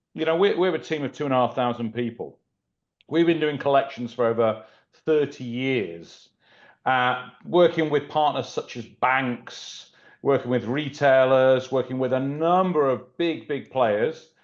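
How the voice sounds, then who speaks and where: Fairly slow speech from a man with a British accent, medium pitch, and ordinary pitch variation. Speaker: collections company executive. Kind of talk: webinar panel discussion.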